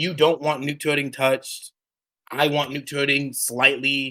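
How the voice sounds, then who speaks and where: A loud man's voice, fairly high in pitch, with a bright, sharp tone, in a very clean recording with a silent background. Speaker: radio show host for a game community. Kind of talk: heated debate. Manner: animated.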